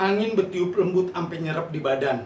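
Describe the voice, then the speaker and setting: A man with a Jakarta accent against noticeable background noise. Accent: Betawi dialect. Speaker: poet. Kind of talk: poetry reading.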